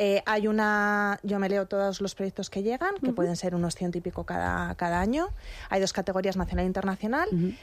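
A woman speaks in an ordinary speaking voice at a medium pitch and a fairly quick pace, with fairly even intonation. Her loudness stays very even in a very clean recording with a silent background. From Madrid, Spain. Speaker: magazine fashion editor. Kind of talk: radio interview. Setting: studio.

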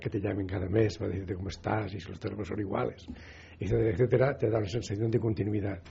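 A man at a very fast pace, fairly low in pitch and somewhat breathy, with ordinary pitch variation. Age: 80s+. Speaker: retired doctor, telecare user. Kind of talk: radio interview.

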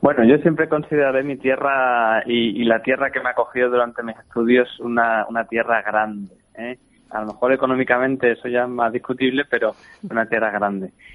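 A man talks at a moderate pace and medium pitch with fairly even intonation. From Spain, Badajoz (Extremadura). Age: 20s. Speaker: opera singer. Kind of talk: interview. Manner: halting.

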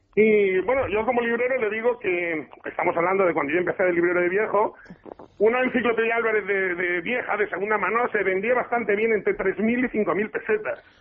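Against noticeable background noise, the speech moves at a fairly quick pace with ordinary pitch variation and very even loudness. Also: man, high pitch for a man. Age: 40s. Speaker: teacher and antiquarian bookseller. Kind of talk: radio interview.

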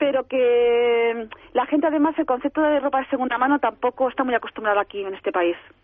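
Speaking very fast, a woman uses a high pitch with ordinary variation in it. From Alicante, Spain. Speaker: shop owner, former photographer. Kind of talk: interview. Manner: hesitant.

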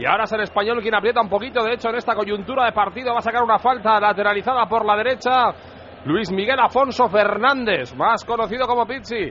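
A man speaks at a very fast pace in a high pitch with fairly even intonation. Noticeable background noise runs beneath him. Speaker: football reporter. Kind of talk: live commentary. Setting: stadium.

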